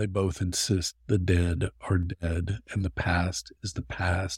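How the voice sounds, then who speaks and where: Over a very clean, silent background, a man speaks very slowly. His voice is very deep and low and somewhat breathy. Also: dry, close sound with no echo. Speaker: poet. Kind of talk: poem read aloud, performed. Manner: solemn, forceful, deliberate.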